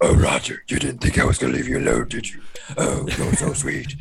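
A man performs a put-on character voice. He moves at a fairly quick pace.

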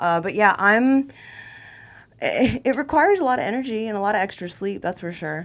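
Speaking at a fairly quick pace, a woman with an American accent has a plain, everyday voice, fairly high pitch and lively intonation. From Florida (Tampa). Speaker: comedian and sports radio host. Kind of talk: casual chat. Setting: studio.

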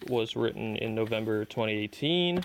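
Delivered at a moderate pace with ordinary pitch variation, this is an ordinary speaking voice. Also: man. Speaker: podcast host and artist. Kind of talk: casual chat. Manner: casual, laughing.

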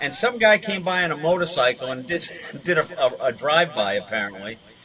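Fairly quick speech comes with an American accent and very wide pitch swings. Noticeable background noise is present. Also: man. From Massachusetts. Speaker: retired police sergeant. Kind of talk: casual interview storytelling. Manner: halting with many fillers.

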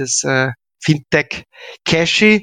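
A man's bright, sharp voice, dry and close with no echo, against a quiet background. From Austria, Graz. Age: 40s. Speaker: payment entrepreneur and business angel. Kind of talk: interview. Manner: halting, many fillers and repetitions.

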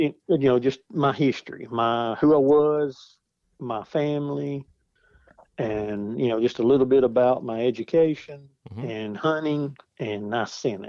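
At a fairly slow pace, a man speaks in a plain, everyday voice with ordinary pitch variation. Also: medium pitch for a man. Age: 40s. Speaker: outdoor product design engineer. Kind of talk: casual interview chat.

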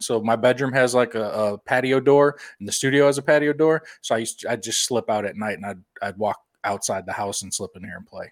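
Speaking at a fairly quick pace, a man with a normal speaking voice holds a medium pitch with ordinary pitch variation and big swings in loudness. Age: 30s. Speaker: podcast host. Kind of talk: casual chat.

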